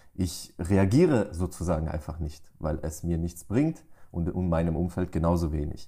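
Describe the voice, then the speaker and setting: A man with a very deep, low, dark and mellow voice speaks somewhat breathily at a moderate pace with fairly even intonation, in a very clean recording with a silent background. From Germany, Pforzheim. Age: 20s. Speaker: entrepreneur. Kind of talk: interview.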